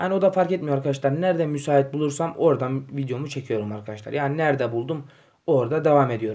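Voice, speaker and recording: A man's very fast speech, fairly high in pitch, dark and mellow in tone, with ordinary pitch variation. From Turkey, Yozgat. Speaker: gaming YouTuber. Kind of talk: casual vlog to camera. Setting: home living room. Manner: hesitant, many fillers.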